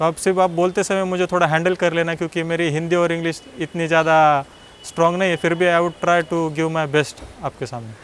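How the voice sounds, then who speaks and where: A man's high voice at a moderate pace with fairly even intonation. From Maharashtra, India (Nashik district village). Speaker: civil service exam topper. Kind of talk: personal success story talk.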